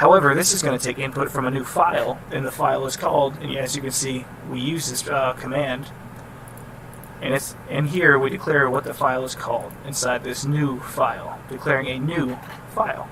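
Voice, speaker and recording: The man's fairly high voice keeps a fairly even intonation against noticeable background noise. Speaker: student explaining class programming assignment. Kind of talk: tutorial. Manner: fast; casual, halting with restarts.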